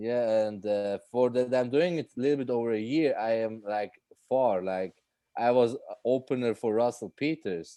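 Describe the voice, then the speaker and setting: Against a quiet background, a man with a Swiss accent speaks in a dark, mellow tone at a medium pitch and moderate pace, with ordinary pitch variation. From Switzerland. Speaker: stand-up comedian. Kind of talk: casual interview chat. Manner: halting, many fillers.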